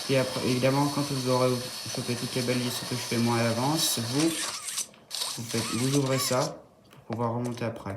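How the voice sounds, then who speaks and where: Soft-spoken delivery at a moderate pace, against noticeable background noise. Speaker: gaming youtuber. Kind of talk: gameplay tutorial commentary. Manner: hesitant, thinking aloud.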